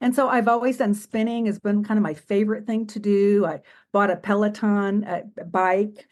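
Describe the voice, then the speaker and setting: Against a quiet background, a woman speaks at a medium pitch with fairly even intonation. It is a plain, everyday voice. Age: 60s. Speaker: retired psychiatric social worker, patient. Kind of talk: podcast interview.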